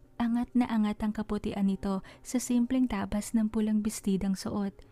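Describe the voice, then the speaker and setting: Somewhat breathy, a woman's fairly high voice stays monotone and flat. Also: moderate pace. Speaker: author and narrator of her own stories. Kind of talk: horror fantasy story narration.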